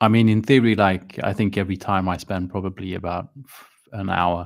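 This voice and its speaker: A man with a Swedish accent, fairly low in pitch, at a moderate pace with fairly even intonation, on a very clean recording with a silent background. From Sweden, schooled abroad in English. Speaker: miniature painting streamer. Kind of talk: live stream chat. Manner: hesitant, many fillers.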